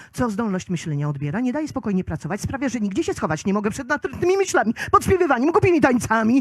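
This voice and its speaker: A high-pitched woman's voice swings very widely in pitch, recorded very cleanly against a silent background. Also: dry, close sound with no echo. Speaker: slam poet. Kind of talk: poetry slam performance. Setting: live outdoor event.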